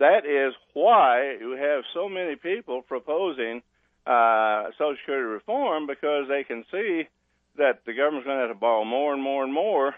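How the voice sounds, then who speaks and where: His intonation lively and his pitch fairly high, a man talks at a moderate pace. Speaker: economist and author. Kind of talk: radio interview. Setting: phone call. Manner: halting, frequent uh fillers.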